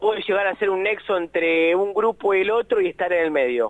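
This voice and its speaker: A man speaks with a Rioplatense accent at a high pitch. His pace is moderate. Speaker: sports journalist. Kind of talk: radio report.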